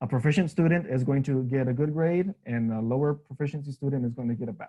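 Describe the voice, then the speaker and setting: A man with a dark, mellow tone speaks at a fairly quick pace. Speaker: teacher trainer. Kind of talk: workshop presentation. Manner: fast.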